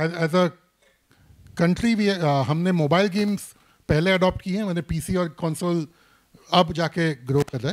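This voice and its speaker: A man's high pitch with ordinary pitch variation, long and frequent pauses, and a Bombay accent. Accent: Bombay-style Hindi. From Mumbai, India. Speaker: gaming industry expert. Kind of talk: panel discussion. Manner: frequent Hindi-English code-switching.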